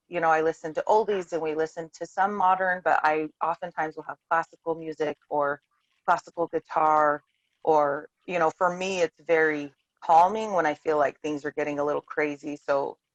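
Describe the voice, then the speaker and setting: A woman with a very deep, low pitch speaks at a moderate pace with fairly even intonation. The sound is dry and close with no echo. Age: 30s. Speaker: homeschooling mother. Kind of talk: casual chat. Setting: video call.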